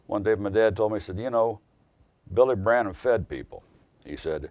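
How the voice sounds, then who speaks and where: Speaking at a fairly quick pace, a man with an American accent uses lively intonation. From US Midwest, southern Indiana. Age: 60s. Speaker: attorney. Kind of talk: interview testimony. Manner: hesitant, with frequent fillers.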